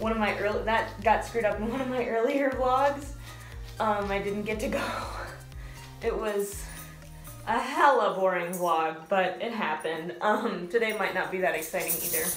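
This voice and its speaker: With faint music in the background and audible room echo, a woman speaks at a moderate pace with ordinary pitch variation. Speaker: service dog handler vlogger. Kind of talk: casual vlog chat. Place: bathroom. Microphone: phone near.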